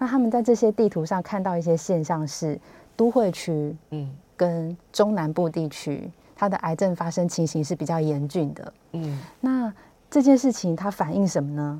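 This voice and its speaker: Over a silent background in a very clean recording, a woman with a Taiwanese accent speaks at a moderate pace in a fairly low pitch, her tone dark and mellow and her intonation lively. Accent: Taiwanese Mandarin. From Taiwan, Hsinchu. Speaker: health magazine journalist. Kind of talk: radio interview. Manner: halting, many fillers.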